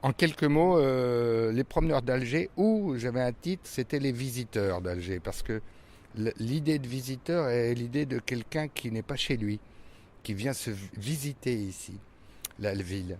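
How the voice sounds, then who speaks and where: Lively intonation runs through this man's medium-pitched voice. He speaks at a fairly slow pace. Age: 60s. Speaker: stage actor. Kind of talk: interview. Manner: hesitant, many fillers.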